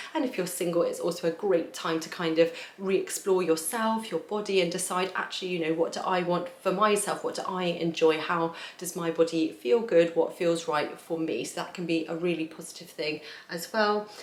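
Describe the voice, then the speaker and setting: Over noticeable background noise, a woman with a fairly low pitch and a warm tone talks at a moderate pace with fairly even intonation. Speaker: tarot reader. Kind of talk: tarot reading talk to camera. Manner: casual, warm.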